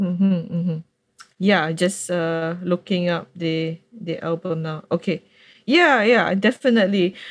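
In an ordinary speaking voice, a woman talks at a fairly slow pace and a fairly low pitch, with ordinary pitch variation. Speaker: podcast host. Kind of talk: interview. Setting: video call.

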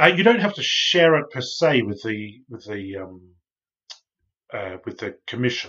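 A man with an Australian accent speaks at a fairly slow pace and medium pitch, with very wide pitch swings and big swings in loudness. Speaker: research consultant. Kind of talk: casual chat. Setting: video call.

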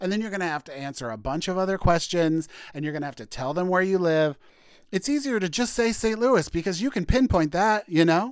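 With an American accent, a man speaks high-pitched and fairly quickly, his intonation lively. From Missouri, US Midwest. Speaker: podcaster. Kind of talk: casual solo monologue. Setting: home recording with laptop. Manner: animated, chatty; stammers, loses train of thought.

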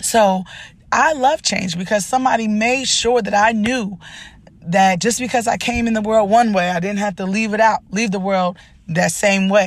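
A woman speaks at a moderate pace with an animated tone. Her voice is somewhat breathy, with ordinary pitch variation. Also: medium pitch for a woman. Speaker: podcast host and life coach. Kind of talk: motivational talk.

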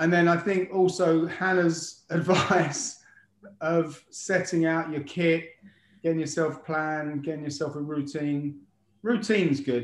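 At a fairly slow pace, a man talks in an ordinary speaking voice with a fairly high pitch. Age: 50s. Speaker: daily runner doing a decade-long running challenge. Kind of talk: casual chat. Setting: video call.

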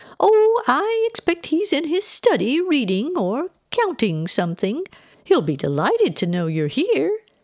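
A woman's put-on character voice, high and slightly mellow, at a fairly slow pace with very wide pitch swings

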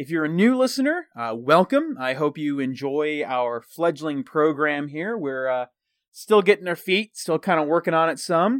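In a very clean recording with a silent background and a dry, close sound with no echo, a man with an unremarkable speaking voice and an American accent talks at a moderate pace and a fairly high pitch, with lively intonation and big swings in loudness. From Texas. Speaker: podcast host. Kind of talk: casual chat.

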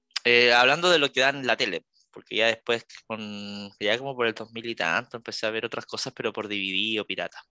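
In a Chilean accent, a man with a bright, sharp tone speaks at a fairly quick pace with ordinary pitch variation, recorded dry and close with no echo against a quiet background. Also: medium pitch for a man. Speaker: podcast co-host. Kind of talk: casual chat.

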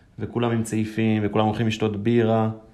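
A man's fairly low voice with audible room echo. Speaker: football fan, engineering student. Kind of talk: casual chat.

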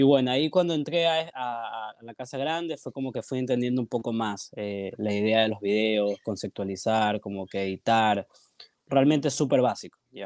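This man has an ordinary speaking voice, medium in pitch with ordinary pitch variation, delivered at a moderate pace. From Guayaquil, Ecuador. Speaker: filmmaker and photographer. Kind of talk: casual interview chat.

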